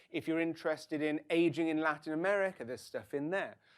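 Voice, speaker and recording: Delivered at a very fast pace in a British accent, the speech sits on a very clean recording with a silent background. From English Midlands, Stratford-upon-Avon. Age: 50s. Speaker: university lecturer. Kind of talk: lecture.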